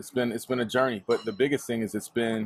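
With an American accent, a man talks in a plain, everyday voice, medium in pitch and with fairly even intonation. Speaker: entrepreneur, real estate agent and clothing brand owner. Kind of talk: casual chat. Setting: Instagram live video.

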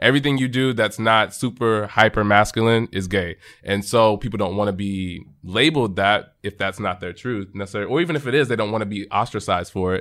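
Speaking with an American accent in a normal speaking voice, the speaker leaves hardly any pauses. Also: man, fairly low pitch for a man, ordinary pitch variation, fairly quick pace. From Texas, Arlington near Dallas. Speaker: podcast guest. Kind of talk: casual chat.

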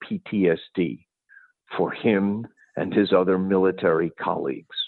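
A man speaks at a very slow pace. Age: 70s. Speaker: toxicologist and cannabis drug developer. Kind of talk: interview. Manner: animated.

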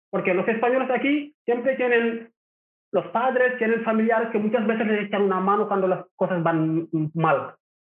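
Pitched high, a man speaks at a moderate pace with ordinary pitch variation and very even loudness. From Senegal, Rufisque near Dakar. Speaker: migrant entrepreneur. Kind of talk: interview.

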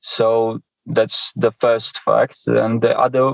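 A man talks at a very slow pace with a Polish accent. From Poland. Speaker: sports journalist. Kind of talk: interview answers. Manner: halting, hesitant.

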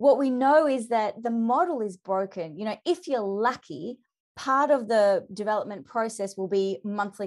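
A woman's medium-pitched voice with lively intonation and an Australian accent. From Australia, Melbourne. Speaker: leadership development consultant and author. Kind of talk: podcast interview. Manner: animated.

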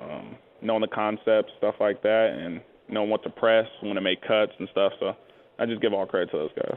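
A man speaks at a moderate pace. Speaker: football running back. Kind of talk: radio interview. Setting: phone interview.

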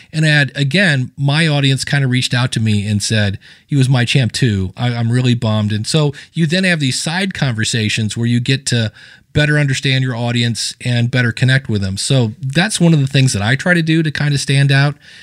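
A plain, everyday voice carries ordinary pitch variation at a fairly quick pace. The background is silent and the recording very clean. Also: man, medium pitch for a man. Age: 50s. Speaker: podcasting coach. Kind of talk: interview.

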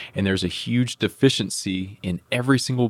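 In an American accent, a man speaks at a moderate pace with ordinary pitch variation. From Oklahoma City. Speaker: business executive. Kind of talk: interview.

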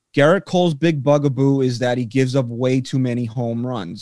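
A man with a plain, everyday voice at medium pitch, fairly even intonation and a moderate pace. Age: 30s. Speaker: podcast host. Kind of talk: casual chat.

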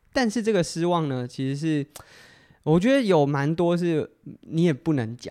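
A man talks at a moderate pace with ordinary pitch variation, captured in a very clean recording with a silent background. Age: 30s. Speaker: podcast host and amateur athlete. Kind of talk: solo casual talk. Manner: hesitant with frequent fillers.

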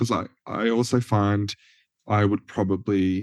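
Speaking at a fairly slow pace, a man with an Australian accent sounds dry and close with no echo. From rural Australia, NSW-Victoria border. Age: 20s. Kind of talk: casual interview.

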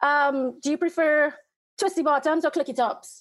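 With a Trinidadian accent, a woman speaks at a moderate pace in a high voice with ordinary pitch variation. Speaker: caller, fan, photographer. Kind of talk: casual chat. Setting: video call.

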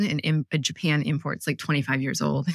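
A woman with a bright, sharp tone and vocal fry is heard on a very clean recording with a silent background. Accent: American. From Michigan, US (Ann Arbor). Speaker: tech product leader and entrepreneur. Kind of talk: casual interview.

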